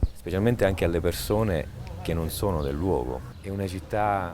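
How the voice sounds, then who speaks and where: Amid noticeable background noise and audible room echo, a man with a very deep, low pitch and ordinary pitch variation speaks at a moderate pace. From Sicily, Siculiana (Agrigento). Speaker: interviewee. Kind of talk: documentary interview.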